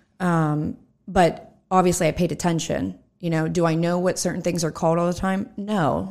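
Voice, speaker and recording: Over a very clean recording with a silent background, a woman speaks in a normal speaking voice. Her pitch is fairly low, her intonation fairly even, and her pace moderate. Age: 30s. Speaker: entrepreneur and financial advisor. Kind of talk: casual interview. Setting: studio.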